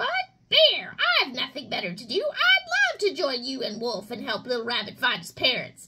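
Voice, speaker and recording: High-pitched, female-sounding put-on character voice delivered at a moderate pace. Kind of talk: children's storytime reading. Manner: excited, playful.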